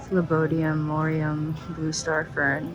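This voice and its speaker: Whispering at a very slow pace in an upbeat tone, with audible room echo and music in the background. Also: woman. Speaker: plant content creator. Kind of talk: vlog tour narration. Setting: airport, public place. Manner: whispering in public; casual, upbeat.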